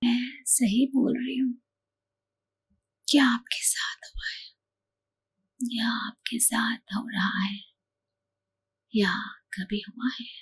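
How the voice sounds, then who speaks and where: A soft-spoken woman with a high voice, fairly even intonation, and long, frequent pauses. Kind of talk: ASMR sleep-help talk.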